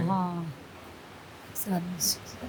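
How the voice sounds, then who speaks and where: A woman speaks over noticeable background noise. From Bihar, Mithila region. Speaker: Mithila painting artist. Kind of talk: interview answer.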